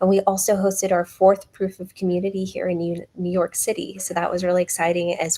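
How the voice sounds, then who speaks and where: A woman's medium-pitched, monotone voice at a fairly quick pace, dry and close with no echo, over noticeable background noise. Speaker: company executive. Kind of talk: business update presentation.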